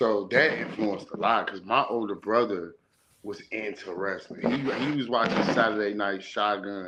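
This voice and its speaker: In an ordinary speaking voice, a man with an American accent talks at a moderate pace. His pitch is fairly low, with ordinary pitch variation. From Chicago. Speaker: wrestling podcast host. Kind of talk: casual chat.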